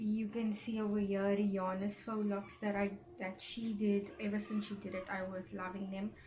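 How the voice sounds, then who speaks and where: A woman at medium pitch, monotone and flat, with hardly any pauses, over noticeable background noise. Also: moderate pace. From South Africa. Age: 20s. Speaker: natural hair YouTuber. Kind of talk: casual talk to camera.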